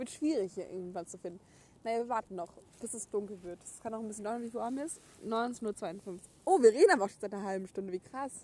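Her voice fairly high in pitch yet dark and mellow in tone, a woman talks at a very fast pace with ordinary pitch variation and big swings in loudness. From Germany, Gütersloh (Westphalia). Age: 20s. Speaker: podcast co-host. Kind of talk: casual chat. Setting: outdoors.

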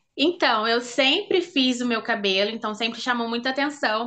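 A woman speaks with a fairly high pitch and ordinary pitch variation. Her tone is bright and sharp. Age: 20s. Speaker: braider and cultural producer. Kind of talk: casual interview.

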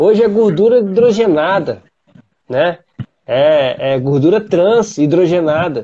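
A man speaks very slowly in a high pitch, his loudness very even and his intonation lively. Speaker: podcast host, triathlete. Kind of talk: casual chat.

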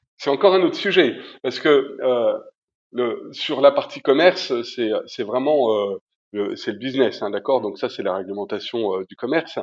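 Big swings in loudness from a man talking at a fairly slow pace. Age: 50s. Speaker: event industry manager. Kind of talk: interview. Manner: hesitant, many fillers.

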